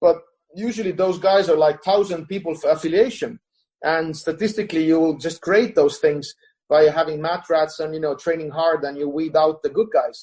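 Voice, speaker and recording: With an Estonian accent, a man talks at a high pitch and a moderate pace, with ordinary pitch variation. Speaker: jiu-jitsu coach. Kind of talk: podcast interview. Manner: halting, many fillers.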